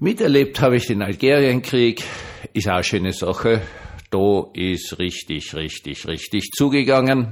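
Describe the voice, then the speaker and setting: At a fairly slow pace, a man with an unremarkable speaking voice talks at a medium pitch with lively intonation. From Austria. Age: 60s. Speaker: pastor. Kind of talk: monologue vlog. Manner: conversational.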